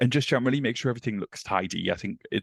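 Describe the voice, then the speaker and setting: A man with a northeast English accent talks at a very fast pace, with ordinary pitch variation. The sound is dry and close with no echo, over a quiet background. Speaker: office manager. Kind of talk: podcast interview.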